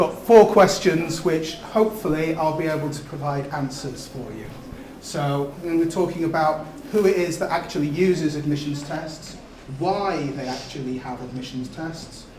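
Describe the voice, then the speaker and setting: Amid noticeable background noise and audible room echo, a man with a fairly high pitch talks at a moderate pace with ordinary pitch variation and big swings in loudness. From North Wales. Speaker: admissions test specialist presenting a seminar. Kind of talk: seminar talk to students. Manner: hesitant with frequent fillers.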